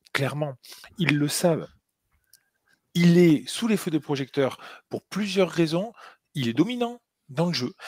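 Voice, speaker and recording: A man with a high voice speaks fairly slowly in a southern French accent, with lively intonation. He pauses long and often, and the sound is dry and close with no echo. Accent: southern French accent, sing-song. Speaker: NFL podcast co-host. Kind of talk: casual chat. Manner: hesitant, many fillers and repetitions.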